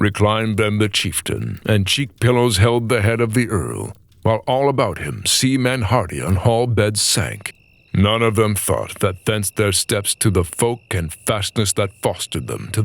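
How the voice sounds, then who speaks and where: A man's fairly low voice carries vocal fry. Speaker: voice actor. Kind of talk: audiobook narration of epic poetry.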